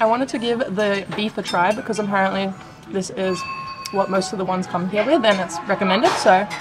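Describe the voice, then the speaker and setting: Clear music plays behind a woman whose pitch shows ordinary variation. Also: fairly quick pace. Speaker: food vlogger. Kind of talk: casual vlog chat. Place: cafe. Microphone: phone near.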